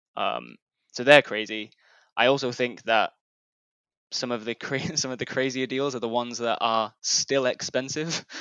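A man at medium pitch, moderate pace and fairly even intonation, with long, frequent pauses. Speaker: newsletter founder. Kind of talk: casual interview chat.

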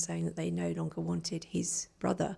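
On a very clean recording against a silent background, a woman is talking. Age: 40s. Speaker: life coach and forest therapy guide. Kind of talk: casual chat. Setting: in person with host.

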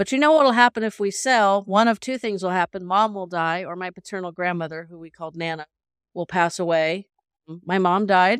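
A plain, everyday voice moves at a moderate pace with ordinary pitch variation, in a very clean recording with a silent background and a dry, close sound with no echo. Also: woman, medium pitch for a woman, big swings in loudness. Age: 50s. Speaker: caregiver and portrait photographer. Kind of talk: casual interview chat.

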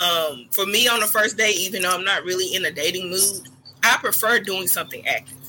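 Speaking in a plain, everyday voice, a woman talks fairly quickly at a medium pitch with ordinary pitch variation. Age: 30s. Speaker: podcast guest. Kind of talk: casual chat.

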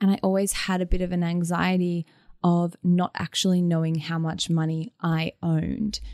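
A woman speaks with an Australian accent at a moderate pace. Her intonation is monotone and flat, in a dry, close sound with no echo. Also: fairly low pitch for a woman. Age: 20s. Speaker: DJ and music producer. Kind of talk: interview.

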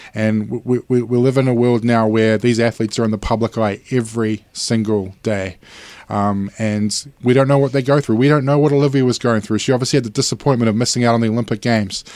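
A very fast delivery with fairly even intonation in a New Zealand accent, on a very clean recording with a silent background. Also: man. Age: 40s. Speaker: sports panelist. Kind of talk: casual chat.

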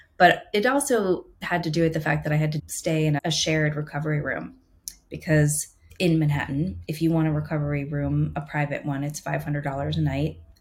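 With a somewhat breathy, very deep, low voice, a woman speaks at a moderate pace with fairly even intonation. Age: 40s. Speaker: photographer. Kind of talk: casual chat.

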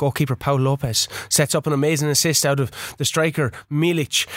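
A man talks. His tone is animated and dramatic. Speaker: podcast host. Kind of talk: casual banter; mock sports commentary, dramatic match recap read-out. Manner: sleepy, tired; animated, mock-dramatic commentary delivery, rising urgency, comedic filler.

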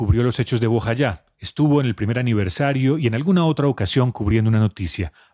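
In a plain, everyday voice, a man talks at a fairly quick pace with lively intonation, the sound dry and close with no echo. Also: hardly any pauses, very even loudness. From Colombia. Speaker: radio reporter. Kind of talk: field reporting.

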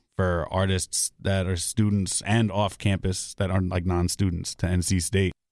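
With a New York accent, a man talks at a moderate pace in a very deep, low voice, his delivery monotone and flat, his loudness very even and his pauses few, the sound dry and close with no echo on a very clean recording with a silent background. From Bronx, New York City. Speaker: DJ and student radio host. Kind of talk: casual interview. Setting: studio.

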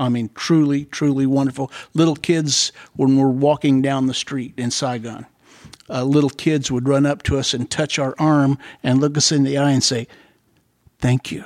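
Monotone, flat intonation in an American accent comes at a moderate pace in a very clean recording with a silent background and a dry, close sound with no echo. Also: man, fairly high pitch for a man. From Ohio, US. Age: 70s. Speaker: Medal of Honor recipient, Vietnam veteran. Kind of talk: casual interview, storytelling.

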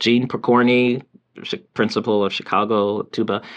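A man with an American accent speaks in a plain, everyday voice with fairly even intonation. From US South, Georgia (Milledgeville, near Macon). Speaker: saxophone professor. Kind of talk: interview conversation.

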